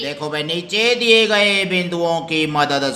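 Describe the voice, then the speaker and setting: The speech carries ordinary pitch variation over noticeable background noise. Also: man. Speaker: school teacher. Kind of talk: primary school lesson explained to children.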